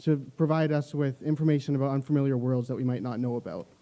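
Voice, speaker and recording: A dark, mellow tone at a very fast pace, with a Canadian accent. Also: man. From Canada. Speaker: youth speaker. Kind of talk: prepared speech. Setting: library auditorium event.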